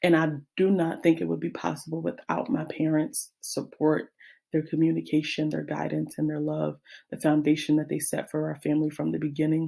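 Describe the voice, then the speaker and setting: A woman speaks at a fairly quick pace. The recording is very clean, with a silent background. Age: 20s. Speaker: teacher and graduate student. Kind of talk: class presentation. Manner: halting.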